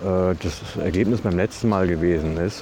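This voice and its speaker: Noticeable background noise runs under a man speaking with fairly even intonation. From Westphalia, Germany (Ibbenbüren). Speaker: podcaster. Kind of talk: casual monologue. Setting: outdoors, walking.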